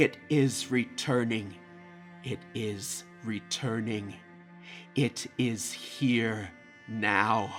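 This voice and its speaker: A man doing a put-on character voice at a medium pitch speaks at a very slow pace, with long, frequent pauses and clear music in the background. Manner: horrified.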